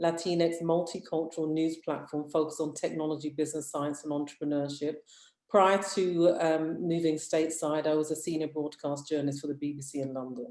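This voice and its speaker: A woman's very deep, low voice in a British accent, dark and mellow in tone, monotone and flat in intonation, at a fairly quick pace. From United Kingdom. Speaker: media founder, former broadcast journalist. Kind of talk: panel discussion.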